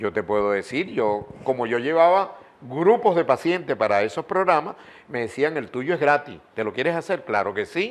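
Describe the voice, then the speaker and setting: A man with a fairly high pitch moves through very wide pitch swings as he talks. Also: moderate pace. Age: 80s+. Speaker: journalist and broadcaster. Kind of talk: interview.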